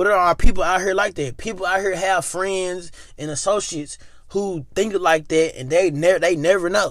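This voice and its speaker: With an American accent, this man talks at a moderate pace in a high pitch, his tone animated and his pitch variation ordinary. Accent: Memphis Southern accent, noticed by others. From Memphis, Tennessee, US South. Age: 20s. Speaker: podcast host. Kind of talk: casual solo monologue.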